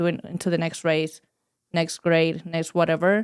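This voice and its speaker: Speaking at a moderate pace, a woman talks in a fairly low pitch. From Spain, Madrid. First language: Spanish. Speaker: wellness charity co-founder. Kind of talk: podcast interview.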